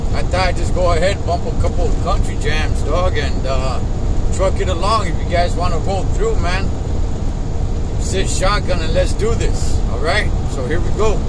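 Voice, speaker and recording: Loud background noise surrounds a man who keeps a moderate speed. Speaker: truck driver vlogger. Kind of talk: casual vlog chat. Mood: relaxed, friendly. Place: car. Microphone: phone near.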